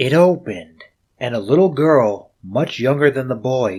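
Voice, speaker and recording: A man with an unremarkable speaking voice and a medium pitch talks fairly slowly, his intonation lively. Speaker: audiobook narrator. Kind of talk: audiobook reading.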